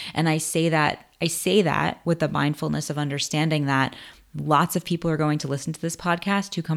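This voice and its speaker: A woman speaks with an American accent in a very deep, low voice, recorded very cleanly against a silent background. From US, Queens, New York. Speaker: podcast host, screenwriter. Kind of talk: personal story monologue.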